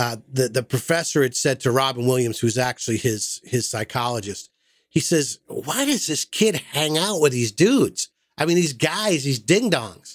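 Using an unremarkable speaking voice, a man at medium pitch talks at a moderate pace with lively intonation, in a dry, close sound with no echo. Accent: American. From Massachusetts. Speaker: podcast host. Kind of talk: casual chat.

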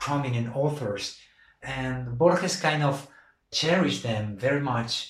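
In an Andalusian accent, a man speaks at medium pitch and a moderate pace. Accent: Spanish (Andalusian) accent in daily life. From Argentina (Buenos Aires), raised also in Andalusia, Spain. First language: Spanish. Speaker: novelist. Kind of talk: interview about his book. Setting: podcast interview.

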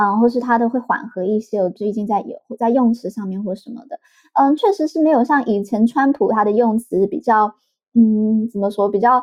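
Ordinary pitch variation shapes the fairly high voice of a woman talking at a moderate rate. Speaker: editor of a US-Taiwan policy site, author. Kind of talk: podcast interview, political analysis. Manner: halting, many fillers.

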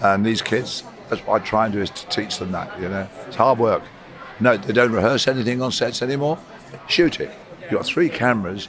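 A man's medium-pitched voice with ordinary pitch variation, a fairly quick pace and big swings in loudness over noticeable background noise. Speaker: cinematographer. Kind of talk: interview.

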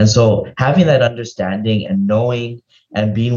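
This man's voice sits at a medium pitch and sounds somewhat breathy. He keeps up a fairly quick pace. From Hawaii. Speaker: state legislator, former diplomat. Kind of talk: interview.

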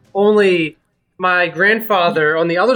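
Raising and projecting his voice, a man speaks fairly slowly with a high pitch and a bright, sharp tone. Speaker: podcast co-host. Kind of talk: casual comedic chat.

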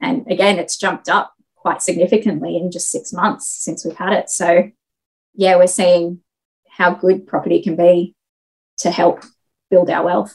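In an Australian accent, a woman speaks at a moderate pace and medium pitch with ordinary pitch variation. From Australia, Sydney. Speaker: property investor and engineering project manager. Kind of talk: casual interview.

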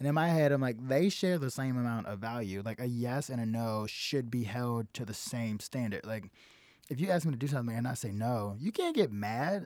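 A man speaks fairly quickly with an American accent at a medium pitch and ordinary pitch variation. The recording is very clean, with a silent background. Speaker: comedian. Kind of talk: casual chat. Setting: studio. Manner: talkative, laughs often.

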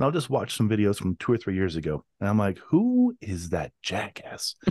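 With a dry, close sound, no echo and a quiet background, a man with an unremarkable speaking voice talks fast-ish at a fairly low pitch. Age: 40s. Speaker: podcast host. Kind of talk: casual chat. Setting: video call.

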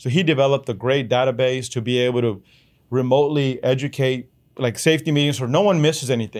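A man with a Spanish accent at a very fast pace, on a very clean recording with a silent background. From Chihuahua, Mexico, then Odessa, Texas from age 11. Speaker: oilfield business owner. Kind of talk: interview storytelling.

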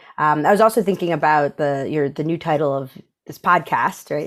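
A woman speaks in a New York accent at a very deep, low pitch with ordinary pitch variation. The recording is very clean, with a silent background. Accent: American (New York). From upstate New York. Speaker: creative agency managing director. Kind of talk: casual interview.

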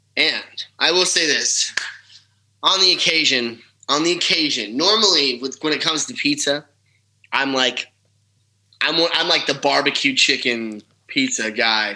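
A man with an American accent speaks at a fairly high pitch, in a bright, sharp tone. His pace is fairly slow, with long, frequent pauses. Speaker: country singer-songwriter. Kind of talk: casual interview chat.

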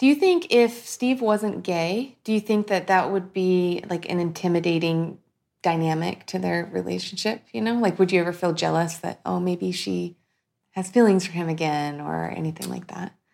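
A woman speaks in a plain, everyday voice at a moderate pace. Her pitch is fairly low with ordinary variation, on a very clean recording with a silent background. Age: 30s. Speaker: podcaster. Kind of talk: casual chat.

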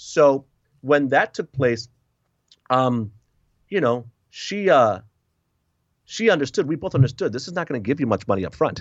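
A man with an American accent talks at a moderate pace, his voice at a medium pitch. His pitch swings very widely, and he leaves long, frequent pauses. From US Northeast, Connecticut and Massachusetts. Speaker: author and speaker. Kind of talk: interview testimony.

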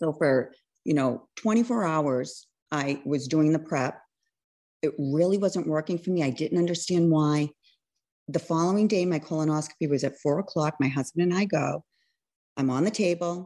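A woman with an American accent has a very deep, low pitch and a dark, mellow tone. Her loudness is very even, her pitch varies in an ordinary way, and the background is quiet. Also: moderate pace. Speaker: registered nurse, cancer survivor. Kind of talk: testimony.

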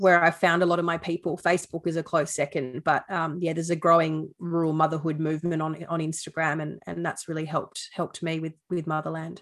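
A woman with an Australian accent speaks fairly quickly in a fairly low, flat monotone. She hardly pauses at all. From Sydney, Australia. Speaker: beef farmer and former TV reporter. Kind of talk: casual interview.

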